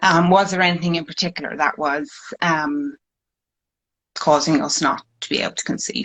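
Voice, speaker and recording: Speaking at a moderate pace with long, frequent pauses, a woman uses a fairly low pitch and ordinary pitch variation. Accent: Irish. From Ireland. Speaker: fertility patient sharing her story. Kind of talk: personal testimony. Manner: hesitant, many fillers.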